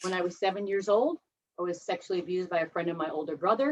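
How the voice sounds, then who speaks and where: A woman speaks with a Midwestern US accent. Her intonation is lively. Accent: US Midwest. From Ohio, US Midwest. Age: 50s. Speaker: recovering alcoholic speaker at a 12-step meeting. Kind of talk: personal testimony. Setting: video call.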